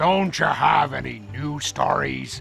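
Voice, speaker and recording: Growling in a put-on character voice, a man speaks at a medium pitch and a fairly slow pace while clear music plays in the background. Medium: video game. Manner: weary, sarcastic.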